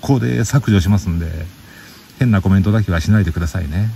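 A man speaks in a relaxed tone with lively intonation amid noticeable background noise. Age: middle-aged. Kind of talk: casual radio-style monologue. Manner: relaxed, chatty.

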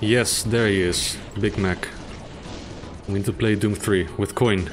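Music plays in the background as a man speaks at a fairly slow pace and a fairly low pitch. His intonation is monotone and flat, and his loudness very even. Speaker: gaming streamer. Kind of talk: live-streamed gameplay commentary with chat. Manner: soothing; casual, relaxed.

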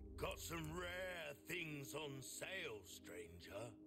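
Against loud background noise, a man puts on a gruff character voice of medium pitch and speaks at a very slow pace. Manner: gruff, pirate-like.

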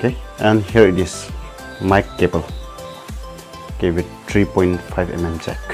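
Over background music, a man with a very deep, low voice talks at a fairly slow pace. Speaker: home vlogger. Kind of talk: casual unboxing commentary. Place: home room. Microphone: camera far.

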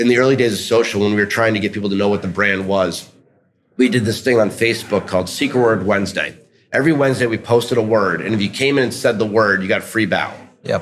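A man with an American accent talks at a very fast pace in a fairly low voice, his intonation fairly even, over light background noise. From New York City. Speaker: restaurant executive; guest. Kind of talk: interview. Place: hall. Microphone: studio mic.

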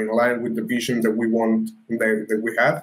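A man with an Italian accent speaks with fairly even intonation. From Italy. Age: 20s. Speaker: crypto startup founder; guest. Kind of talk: interview. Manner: halting. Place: home room.

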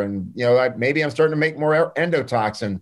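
Against a quiet background, a man talks at a fairly high pitch with ordinary pitch variation. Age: 60s. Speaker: clinical pharmacist and nutritionist; podcast guest. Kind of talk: interview. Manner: animated. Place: office. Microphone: video call.

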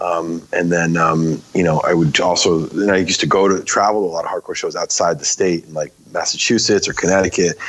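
A man speaks at a fairly quick pace in a very deep, low voice, his intonation monotone and flat, with noticeable background noise behind him. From US Northeast, Maine. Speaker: film director and hardcore musician. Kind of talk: casual interview.

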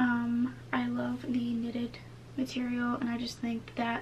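Light background noise sits behind a woman's voice. She speaks at a very slow pace. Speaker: vlogger. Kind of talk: casual vlog chat. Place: home room. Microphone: camera far.

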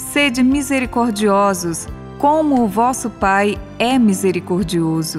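A woman with a medium pitch and lively intonation at a very slow pace, over music in the background. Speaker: radio presenter. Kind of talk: Bible reading.

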